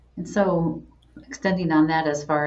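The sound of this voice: At a moderate pace, a woman talks in a low pitch with fairly even intonation, and room echo is audible.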